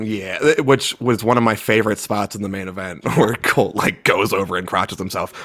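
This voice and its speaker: A man with an ordinary speaking voice, fairly low in pitch, with an American accent, at a moderate pace, with big swings in loudness and hardly any pauses. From US East Coast, Baltimore. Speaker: wrestling podcast host. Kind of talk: casual chat.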